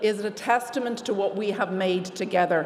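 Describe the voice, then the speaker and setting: Over noticeable background noise, a woman with an Irish accent talks at a very fast pace, her medium pitch showing ordinary variation. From Ireland. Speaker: lawyer, award recipient. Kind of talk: award acceptance speech.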